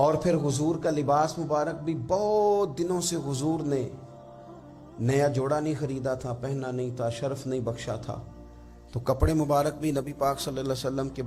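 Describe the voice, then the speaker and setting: A man at a medium pitch talks over music in the background. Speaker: Islamic scholar giving a religious sermon. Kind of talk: Islamic sermon (bayan) delivered to an audience, storytelling.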